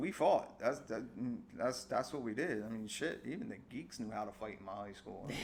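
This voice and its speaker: Here a man speaks with an American accent at a moderate pace. His pitch is medium, with ordinary variation. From US Northeast, South Jersey. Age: 40s. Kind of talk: casual podcast chat. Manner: animated.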